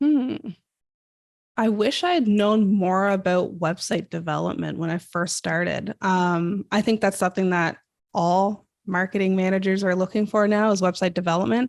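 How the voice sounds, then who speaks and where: On a very clean recording with a silent background, a woman speaks at a medium pitch with a Canadian accent. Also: ordinary pitch variation. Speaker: marketing creative director. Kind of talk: podcast interview. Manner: fast.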